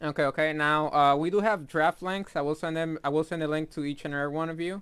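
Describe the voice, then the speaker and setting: At a very fast pace, a man with a fairly high pitch keeps his intonation fairly even in a very clean recording with a silent background. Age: 20s. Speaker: esports stream caster. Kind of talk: casual chat. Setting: live stream. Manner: halting.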